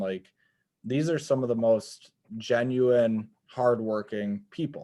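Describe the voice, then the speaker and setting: This man has a Wisconsin accent. His intonation is fairly even. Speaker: podcast host. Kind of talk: casual chat. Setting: video call.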